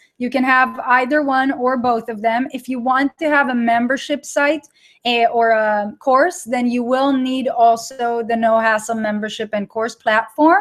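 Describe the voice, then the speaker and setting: A woman's high voice with ordinary pitch variation, fairly slow and with hardly any pauses. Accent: Israeli. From Israel. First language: Hebrew. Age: 30s. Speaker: online course creator. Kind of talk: live webinar with audience chat. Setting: live online broadcast. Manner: animated.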